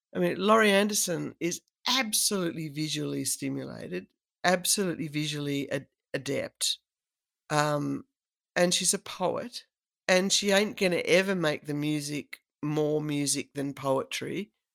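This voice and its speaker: A woman with an Australian accent, very deep and low in pitch, at a moderate pace with lively intonation, in a dry, close sound with no echo and a very clean recording against a silent background. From South Australia, rural. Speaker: cellist and voice artist. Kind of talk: casual interview chat.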